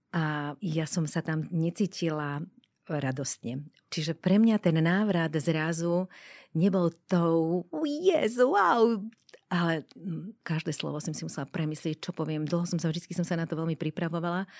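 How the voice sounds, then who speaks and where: A woman uses a normal speaking voice at fairly low pitch, with ordinary pitch variation and a fairly slow pace. The sound is dry and close with no echo, in a very clean recording with a silent background. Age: 60s. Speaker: end-of-life doula. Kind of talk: interview.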